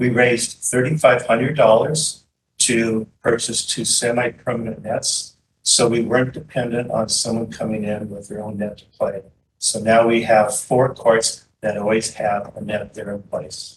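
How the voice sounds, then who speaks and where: A man's medium-pitched, somewhat breathy voice at a moderate pace, with fairly even intonation and big swings in loudness. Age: 70s. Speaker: public commenter, pickleball player. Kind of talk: public comment at board meeting.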